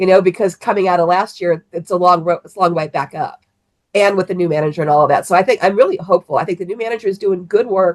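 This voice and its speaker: In an American accent, a woman speaks at a very fast pace, recorded with dry, close sound and no echo. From Cleveland, Ohio. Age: 60s. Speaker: sports fan guest. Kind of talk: casual sports chat.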